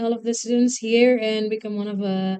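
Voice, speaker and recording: Speaking at a moderate pace, a woman with an Indonesian accent uses a fairly high pitch. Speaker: English-speaking community leader. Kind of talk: interview. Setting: school, in front of students. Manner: halting.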